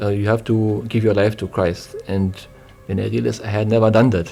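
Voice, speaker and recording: A man with a German accent and fairly low pitch, music in the background. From East Germany. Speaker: church deacon. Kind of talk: interview. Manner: halting.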